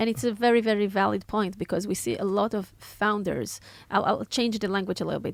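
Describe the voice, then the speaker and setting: Vocal fry runs through speech delivered at a fairly quick pace on a very clean recording with a silent background. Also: woman. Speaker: podcast host. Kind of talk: interview question.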